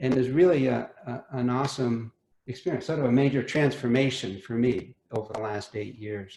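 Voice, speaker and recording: Dark, mellow, somewhat breathy voice at a moderate pace with ordinary pitch variation. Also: man, medium pitch for a man. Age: 60s. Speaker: homeowner. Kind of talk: casual chat. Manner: halting.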